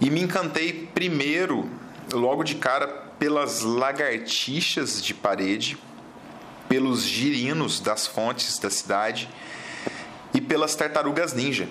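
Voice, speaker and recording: A man at a very slow pace, with long, frequent pauses, audible room echo, and noticeable background noise. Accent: southern Minas Gerais. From southern Minas Gerais, Brazil (Poços de Caldas). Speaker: biologist, fauna consultant. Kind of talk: interview.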